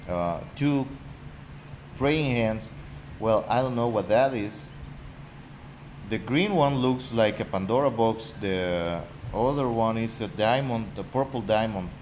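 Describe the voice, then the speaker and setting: This man talks very slowly, leaving long, frequent pauses, at a medium pitch with ordinary variation. Room echo is audible. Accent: Spanish. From Mexico. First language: Spanish. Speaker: gaming YouTuber. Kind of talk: casual rant. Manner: halting.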